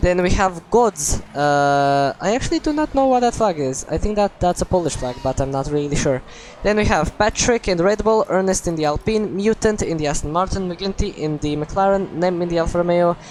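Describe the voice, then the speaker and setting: Noticeable background noise behind a woman speaking with lively intonation. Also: fairly low pitch for a woman, fairly quick pace. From Croatia. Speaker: sim racing commentator. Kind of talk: live commentary. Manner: animated.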